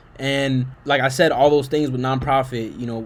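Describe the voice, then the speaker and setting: The speaker is a man with a fairly high pitch. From Puerto Rican American. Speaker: YouTube reaction commentator. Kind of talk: video reaction commentary. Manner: casual slangy.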